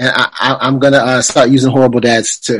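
Speaking at a moderate pace, a man has an unremarkable speaking voice with a fairly high pitch. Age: 40s. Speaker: movie reviewer and podcaster. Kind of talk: interview.

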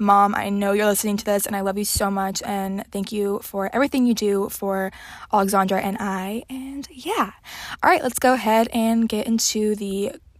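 A woman with an American accent speaks at a medium pitch and a moderate pace, her intonation fairly even. She has a plain, everyday voice. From Texas, Houston. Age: young. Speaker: podcast host. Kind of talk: casual solo chat.

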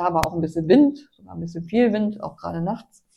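Lively intonation rides on a fairly quick pace. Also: woman. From northern Germany, Hanover region. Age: 60s. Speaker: amateur road cyclist. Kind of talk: casual interview chat. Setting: kitchen.

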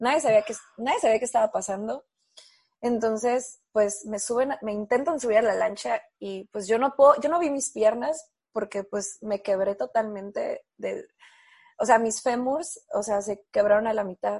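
A fairly high-pitched woman with a Mexican accent, ordinary pitch variation and a fairly slow pace. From Mexico. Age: 30s. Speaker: architect and adaptive surfer. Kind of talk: interview testimony.

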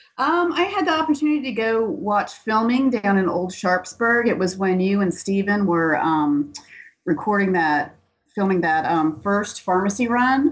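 A woman's medium-pitched voice in a slight Southern US accent, with very wide pitch swings, very even loudness and a moderate pace. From Atlanta, US South. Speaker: co-host and fan of the show. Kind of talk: casual interview chat.

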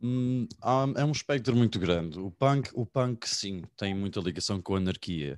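A man has an ordinary speaking voice. His pitch is fairly low, with ordinary variation. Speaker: university student. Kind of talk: online meeting discussion.

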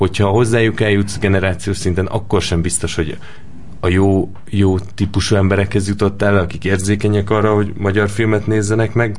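A man talks at a fairly quick pace in a fairly low, monotone, flat voice, with audible room echo. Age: 20s. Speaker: film director. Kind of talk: interview.

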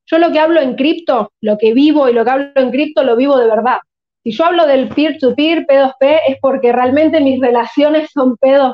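Her high-pitched voice, with ordinary pitch variation, moves at a moderate pace as the woman talks. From Argentina, Buenos Aires. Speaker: crypto investor and content creator. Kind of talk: casual interview chat.

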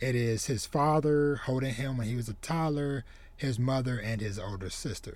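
A man with a normal speaking voice talks at a fairly slow pace. His pitch is medium with ordinary variation. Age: 30s. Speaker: podcast host, manga reviewer. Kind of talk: solo review monologue. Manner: casual, filler-heavy.

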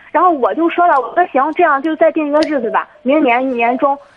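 A woman speaks at a fairly quick pace with lively intonation. Noticeable background noise runs underneath. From Jinan, Shandong, China. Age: 20s. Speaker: caller. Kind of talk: phone-in advice call.

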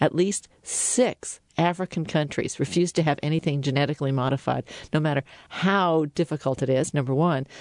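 In an American accent, a woman speaks with a very deep, low pitch, ordinary pitch variation and moderate pace, the sound dry and close with no echo against a quiet background. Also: very even loudness. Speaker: radio host. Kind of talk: interview.

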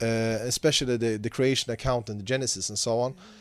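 The recording is very clean, with a silent background. The speaker has a Swedish accent. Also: man. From Sweden. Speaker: Islamic scholar and teacher. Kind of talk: interview.

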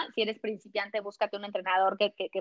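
A woman speaks in an energetic tone at a medium pitch. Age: 40s. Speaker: running and nutrition coach. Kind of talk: interview.

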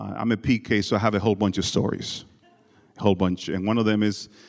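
A man talks fast with vocal fry. His pitch is fairly low and his intonation fairly even.

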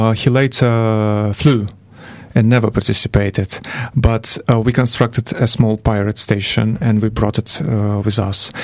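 Noticeable background noise sits behind a man talking fairly slowly in a fairly low, monotone voice with flat intonation. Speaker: ride organiser. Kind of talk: radio interview. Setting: studio.

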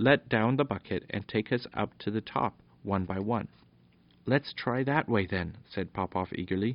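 The voice reads in an unforced way. Its pitch varies by an ordinary amount.

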